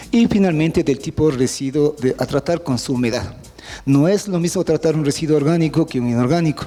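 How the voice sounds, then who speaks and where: His tone is dark and mellow. The man delivers his words at a fairly quick pace. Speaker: university professor and remediation expert. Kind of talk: technical seminar lecture. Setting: seminar presentation with audience. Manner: fast.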